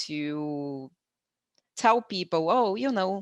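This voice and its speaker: Very slow, lively speech from a woman with a Brazilian accent, dry and close with no echo. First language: Brazilian Portuguese. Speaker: conference interpreter. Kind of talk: webinar presentation.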